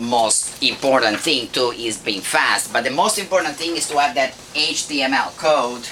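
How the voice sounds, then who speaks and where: With a strong non-native accent, a man talks at a fairly high pitch with ordinary pitch variation against noticeable background noise. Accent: thick foreign. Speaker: internet marketing instructor. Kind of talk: live lecture presentation.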